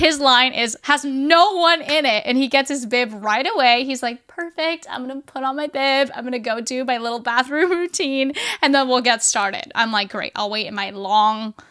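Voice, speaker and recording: At a moderate pace and with hardly any pauses, a woman with a non-native accent speaks in a raised, projected, animated voice, high-pitched with ordinary pitch variation, over noticeable background noise. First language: not English. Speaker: podcast co-host. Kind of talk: casual chat.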